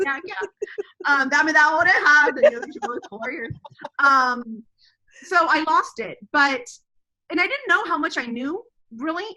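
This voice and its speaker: With an American accent, a woman uses a raised, projected voice, high in pitch and bright and sharp in tone, with very wide pitch swings, big swings in loudness, and long, frequent pauses. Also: moderate pace. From Texas. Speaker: homeschooling mother. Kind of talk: interview conversation.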